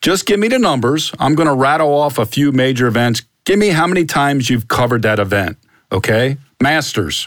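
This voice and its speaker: A man with a plain, everyday voice speaks at a fairly quick pace and medium pitch, his intonation lively and his loudness very even. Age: 50s. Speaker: podcast host, former sports writer. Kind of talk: casual interview.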